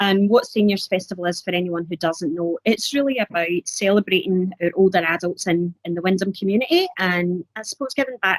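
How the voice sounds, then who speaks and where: With a slight Scottish accent, a woman talks at medium pitch in a dry, close recording with no echo. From Scotland, Glasgow. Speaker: council community services officer. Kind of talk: webcast interview. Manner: halting, many fillers.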